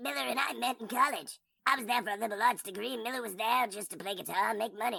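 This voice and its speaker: A female-sounding voice in a put-on character voice rattles along at a very fast pace with a fairly high pitch. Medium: audio drama. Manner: casual, cool.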